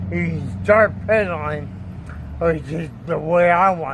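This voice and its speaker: A man's very slow speech with audible room echo. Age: 60s. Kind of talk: product demonstration.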